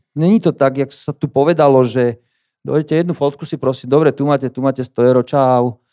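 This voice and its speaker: Over a quiet background, a man talks in a dark, mellow tone. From Slovakia. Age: 50s. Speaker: gallery owner and fine art printer. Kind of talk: conference talk. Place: hall. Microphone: handheld.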